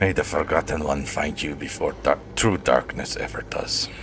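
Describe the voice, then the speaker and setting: A man mumbles quietly in a put-on character voice, with clear background noise. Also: moderate pace. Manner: mumbled quietly to himself.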